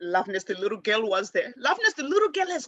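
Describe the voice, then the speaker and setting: A woman speaks in a fairly high, bright, sharp voice with an animated tone and very wide pitch swings, in a dry, close sound with no echo. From Africa. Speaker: spiritual teacher. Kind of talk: personal storytelling. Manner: fast.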